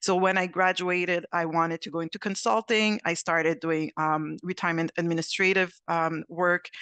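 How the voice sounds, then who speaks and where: A woman's fairly low, bright, sharp voice in a Quebec accent, with fairly even intonation, a moderate pace and hardly any pauses, dry and close with no echo against a quiet background. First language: French. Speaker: actuary. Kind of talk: panel discussion.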